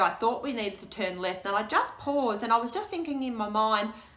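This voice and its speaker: Speaking in an Australian accent over noticeable background noise, a woman talks at a fairly quick pace with a fairly high pitch and lively intonation. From Australia, rural western Victoria. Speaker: deafblind guide dog client speaker. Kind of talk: presentation Q&A. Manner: animated.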